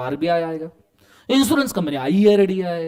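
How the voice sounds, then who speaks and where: This man sounds animated, his voice moving through very wide pitch swings. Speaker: law lecturer for accountancy students. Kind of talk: lecture. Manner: animated, conversational with student check-ins.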